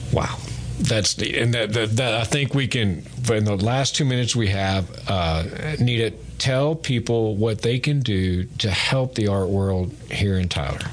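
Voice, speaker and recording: Fairly slow, fairly low-pitched male speech with very even loudness, ordinary pitch variation and noticeable background noise. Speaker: radio host. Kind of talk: interview. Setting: studio.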